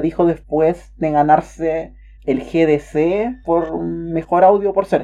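With a Chilean accent, a woman speaks in a fairly low voice with a dark, mellow tone and fairly even intonation. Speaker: podcast co-host. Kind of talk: casual chat.

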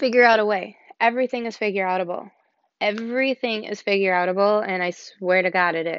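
A woman speaks at a moderate pace in a plain, everyday voice, her pitch fairly high. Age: 40s. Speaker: podcast host, sales team manager. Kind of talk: casual solo podcast monologue. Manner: casual, many filler words (um).

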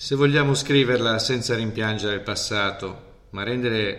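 Over audible room echo, a man speaks at a moderate pace with fairly even intonation. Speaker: teacher. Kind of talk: casual interview.

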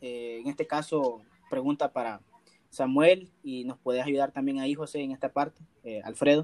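With an unremarkable speaking voice, a man talks at a moderate pace and a fairly high pitch. His intonation is lively, and the sound is dry and close with no echo. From El Salvador. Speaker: podcast host. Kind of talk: casual chat.

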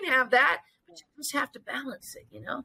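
A woman speaks at a high pitch in a raised, projected voice. Her tone is bright and sharp, and her pace fairly quick. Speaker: fitness studio owner, military veteran. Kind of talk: casual interview. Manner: energetic.

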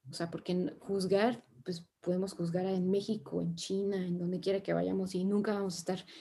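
A woman's somewhat breathy voice, dark and mellow in tone, with monotone, flat intonation. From Mexico. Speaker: sustainability consultant. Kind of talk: interview conversation.

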